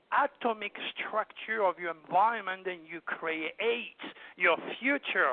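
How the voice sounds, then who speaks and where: This man talks fairly slowly, in a French accent. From southern France, Provence. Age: 70s. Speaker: astrologer and hypnotherapist. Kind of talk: interview. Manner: animated.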